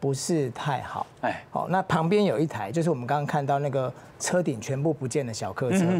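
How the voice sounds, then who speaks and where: A man talks at a fairly quick pace with ordinary pitch variation. Light background noise sits behind him. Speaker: TV guest. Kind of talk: commentary. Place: studio. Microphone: lapel.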